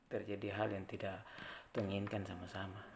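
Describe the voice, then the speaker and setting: Audible room echo surrounds this man's voice. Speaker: traffic safety community member. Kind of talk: informal educational vlog. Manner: conversational, with hesitations.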